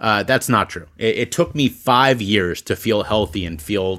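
This is an ordinary speaking voice: a man with fairly low pitch and ordinary pitch variation talks at a moderate pace in a very clean recording with a silent background. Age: 30s. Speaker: public speaker and podcast host. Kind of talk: interview. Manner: frequent fillers and repetitions.

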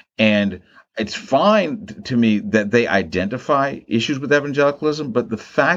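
Speaking at a moderate pace with an American accent, a man's voice swings very widely in pitch. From US, Maryland. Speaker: theologian and professor. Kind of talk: interview conversation. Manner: halting, frequent repetitions.

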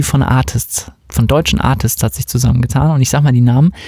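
Pitch varies in an ordinary way, with noticeable background noise behind the voice. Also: man. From West Germany. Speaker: music podcast host and dance music producer. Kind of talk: casual chat.

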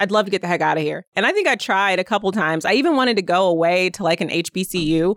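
A woman speaks with a Midwestern American accent. The sound is dry and close with no echo, and the recording is very clean with a silent background. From Indiana, South Bend. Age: 40s. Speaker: state government official. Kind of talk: interview.

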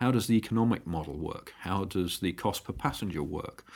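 A man with a British accent talks at a moderate pace in a fairly low pitch with ordinary pitch variation. The recording is very clean, with a silent background. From England. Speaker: aviation startup founder. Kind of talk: interview.

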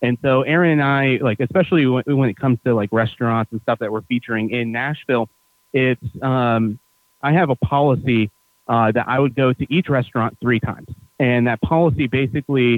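An unremarkable speaking voice, this man talks at a medium pitch and a fairly quick pace with an American accent and ordinary pitch variation. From upstate New York. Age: 30s. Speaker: hospitality entrepreneur and tour guide. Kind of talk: casual interview.

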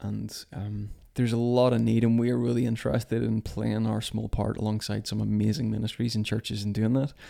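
This man speaks with a Belfast accent. His pace is fairly quick, with hardly any pauses. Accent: Belfast Northern Irish. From Northern Ireland, near Belfast. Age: 30s. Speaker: church leader. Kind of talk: casual conversation. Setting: kitchen table at home.

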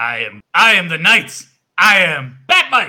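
A man talks in a put-on character voice. His pace is very slow. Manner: gleeful, hyped.

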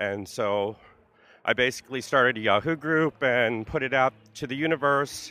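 A man with an American accent speaks slowly-ish at a medium pitch with ordinary pitch variation, in a plain, everyday voice. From New Jersey (Carteret, North Brunswick). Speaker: pagan group founder and clothing designer. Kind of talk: casual interview. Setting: outdoors in a park at a festival.

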